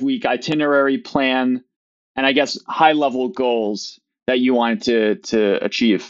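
At a moderate pace, a man with a Midwestern American accent talks at a medium pitch. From US Midwest. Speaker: business owner. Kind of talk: casual interview conversation.

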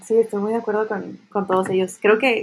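Using an ordinary speaking voice, a woman talks at a medium pitch with fairly even intonation. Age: 20s. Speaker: social development project leader. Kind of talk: casual chat.

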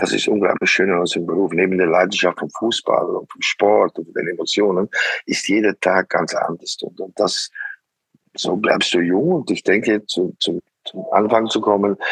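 This man's voice comes through dry and close, free of echo, at an even, middling speed. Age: 60s. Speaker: football coach. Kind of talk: interview. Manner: halting.

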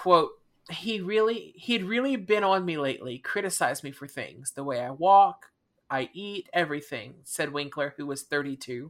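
A woman speaks with lively intonation at a moderate pace. The recording is very clean, with a silent background. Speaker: true crime podcast host. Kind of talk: casual chat, retelling a case.

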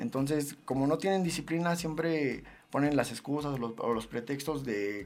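Here is an unremarkable speaking voice whose pitch varies in an ordinary way. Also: man. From Mexico, State of Mexico. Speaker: professional MMA fighter and gym owner. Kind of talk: interview.

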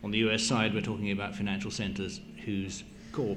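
A man with fairly low pitch at a fairly quick pace. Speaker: investment banking association director.

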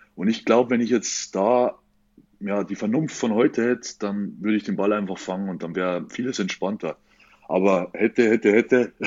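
With a fairly low pitch and a normal speaking voice, this man keeps a moderate pace and fairly even intonation. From Bavaria, Franconia. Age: 20s. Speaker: professional bodybuilder. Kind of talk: casual interview.

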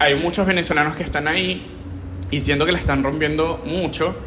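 A man speaks fairly quickly in a high pitch with ordinary pitch variation. Noticeable background noise and audible room echo are present. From Venezuela. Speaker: podcast co-host. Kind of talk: casual chat.

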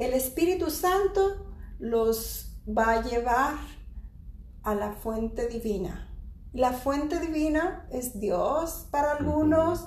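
A high-pitched woman's voice with lively intonation, a very slow pace and audible room echo. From Mexico. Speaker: podcast host, spiritual teacher. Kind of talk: casual chat on spirituality.

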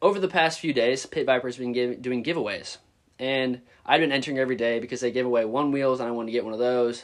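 A man is speaking. He has an unremarkable speaking voice. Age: 20s. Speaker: college student. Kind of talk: casual chat.

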